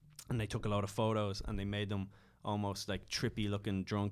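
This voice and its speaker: A man with an American accent at a very fast pace. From Ireland. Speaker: comedian. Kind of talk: casual chat. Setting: podcast studio.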